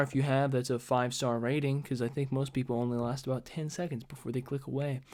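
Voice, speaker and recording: In a very clean recording with a silent background, a man talks at a medium pitch in a monotone, flat intonation. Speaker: vlogger. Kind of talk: casual monologue. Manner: hesitant, many filler words.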